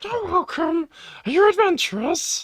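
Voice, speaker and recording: This is a put-on character voice, squeaky and at an extremely high pitch. It moves at a moderate pace. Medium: actual play. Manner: hesitant, stammering.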